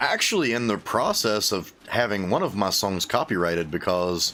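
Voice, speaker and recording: A man with an Appalachian accent talks at a moderate pace and a fairly low pitch. His intonation is lively and his loudness very even. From US, Appalachia. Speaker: gaming streamer and musician. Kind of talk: casual chat while livestreaming a game. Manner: casual, rambling with fillers.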